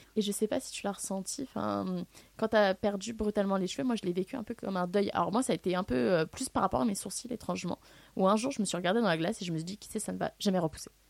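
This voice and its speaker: A woman talks at a very fast pace with medium pitch, ordinary pitch variation and vocal fry, in a dry, close sound with no echo on a very clean recording with a silent background. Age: 20s. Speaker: student living with alopecia. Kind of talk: testimony. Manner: halting.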